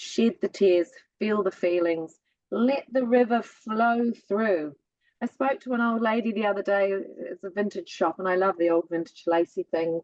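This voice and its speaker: The speaker has a New Zealand accent and talks at a moderate pace. Pitch variation is ordinary. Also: woman. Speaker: spiritual guest. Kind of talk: casual chat.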